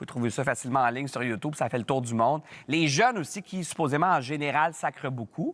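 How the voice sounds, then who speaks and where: Very fast speech from a man with a fairly high pitch and lively intonation, in a dry, close sound with no echo. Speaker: TV talk show host. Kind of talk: panel talk show discussion.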